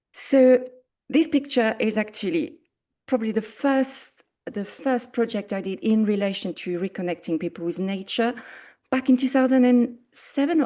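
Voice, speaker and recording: A woman speaks in a French accent at a fairly high pitch. Her tone is dark and mellow, with lively intonation. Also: quiet background. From France. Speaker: arts coordinator. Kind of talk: presentation.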